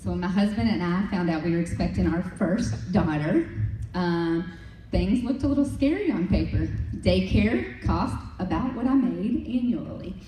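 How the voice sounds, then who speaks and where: A woman speaks at a moderate pace, with audible echo in the room. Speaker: direct sales leader. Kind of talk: motivational talk. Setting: stage with audience. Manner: animated.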